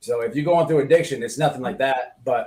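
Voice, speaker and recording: With an American accent and ordinary pitch variation, a man speaks in a somewhat breathy voice. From United States. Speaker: online radio host. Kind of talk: heated discussion. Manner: animated.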